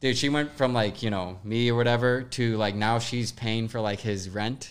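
A man with an unremarkable speaking voice, medium pitch and moderate pace, recorded very cleanly over a silent background. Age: 20s. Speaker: podcast host. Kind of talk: casual chat.

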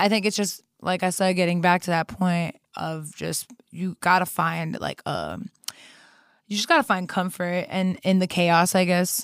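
In a Chicago-area accent, a woman at a medium pitch speaks at a fairly slow pace with fairly even intonation, in a dry, close sound with no echo and a very clean recording with a silent background. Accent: Chicago-area American English. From US Midwest. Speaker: singer-songwriter. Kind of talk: casual interview.

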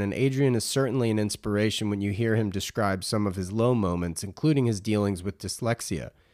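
A man talks at a very fast pace with a fairly low pitch. His pitch variation is ordinary. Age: 40s. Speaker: podcast host. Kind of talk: casual interview chat; scripted narration. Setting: video call.

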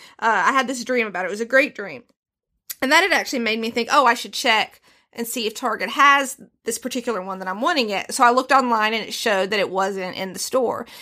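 On a very clean recording with a silent background, a woman with a Southern US accent talks very fast in a fairly high, bright, sharp, animated voice, with ordinary pitch variation and big swings in loudness. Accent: country, Southern US. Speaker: host's wife, guest co-host. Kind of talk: casual chat.

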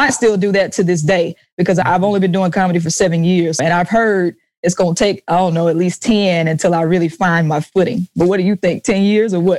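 With a Southern US accent, a woman speaks fairly quickly at medium pitch in an animated tone, her loudness very even. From US South, Jackson, Mississippi. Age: young. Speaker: comedian and musician, military veteran. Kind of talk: casual interview chat. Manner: animated, laughs often.

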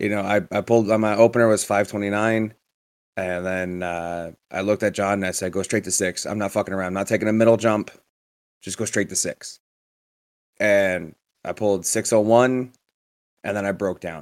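In a very clean recording with a silent background, a man with a fairly low pitch talks at a moderate pace with fairly even intonation and long, frequent pauses. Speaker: hockey podcast co-host and powerlifter. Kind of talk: casual chat. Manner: subdued, somber-sounding.

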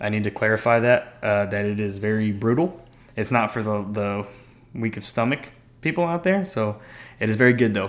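This man has an unremarkable speaking voice, fairly low in pitch with ordinary variation, at a moderate pace. The recording is very clean over a silent background. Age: 20s. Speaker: anime fan guest. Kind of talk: casual chat.

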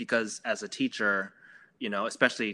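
A man's fairly low voice with an American accent and a bright, sharp tone, on a very clean recording with a silent background. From Maryland, US. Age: 40s. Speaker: theater performer, director and teacher. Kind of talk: casual chat.

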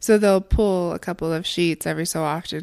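In a very clean recording with a silent background, a woman talks at a moderate pace with ordinary pitch variation. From Mexico City, then Utah (from elementary school). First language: Spanish. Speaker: graphic designer. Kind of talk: casual interview.

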